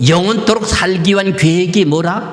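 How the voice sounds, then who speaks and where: A man's high voice at a fairly slow pace and with fairly even intonation, audible room echo and noticeable background noise. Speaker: pastor. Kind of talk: sermon.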